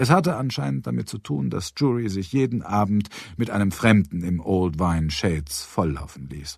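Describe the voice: In a very clean recording with a silent background, a man speaks at a moderate pace and fairly low pitch, with ordinary pitch variation, a slightly mellow tone, a slightly husky edge and vocal fry.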